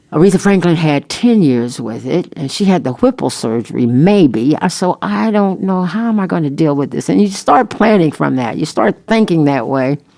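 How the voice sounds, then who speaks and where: A woman's very deep, low voice with very wide pitch swings and hardly any pauses, over noticeable background noise. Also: moderate pace. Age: 70s. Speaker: singer and voice teacher. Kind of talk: podcast interview.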